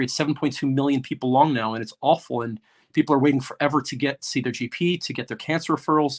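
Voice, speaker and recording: With an American accent, a man speaks at a very fast pace and a fairly high pitch with fairly even intonation, on a very clean recording with a silent background and a dry, close sound with no echo. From United States. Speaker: junior doctor, strike speaker. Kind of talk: rally speech. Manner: halting, many fillers; impassioned.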